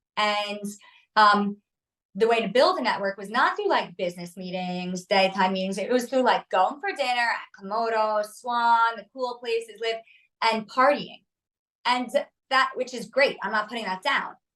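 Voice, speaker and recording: In a New York accent, a woman speaks with a fairly high pitch and a bright, sharp tone. Her pitch varies in an ordinary way. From New York City. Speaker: artist and designer. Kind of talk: interview. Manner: fast; assertive.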